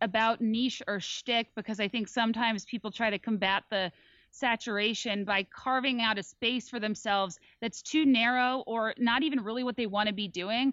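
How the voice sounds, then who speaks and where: Moderately paced, a woman's normal speaking voice comes through at a fairly high pitch with fairly even intonation, in a dry, close sound with no echo over a quiet background. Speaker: podcaster. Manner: articulate.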